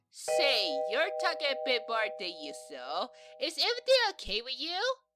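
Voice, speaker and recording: Loud music plays in the background as a woman does a put-on character voice at medium pitch and a moderate pace. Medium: solo performance. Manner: bubbly, enthusiastic.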